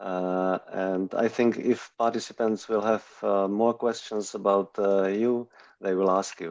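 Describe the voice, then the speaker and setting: A man with a non-native accent talks at a fairly slow pace. His fairly low voice stays monotone and flat. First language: not English. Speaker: talk show host. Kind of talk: online interview discussion. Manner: hesitant, many fillers.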